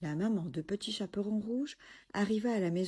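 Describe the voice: Ordinary pitch movement throughout plain reading aloud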